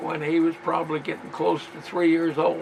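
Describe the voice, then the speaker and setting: A man keeps his intonation fairly even while noticeable background noise plays behind him. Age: 80s+. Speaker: military veteran. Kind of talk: reminiscing narration over family photos.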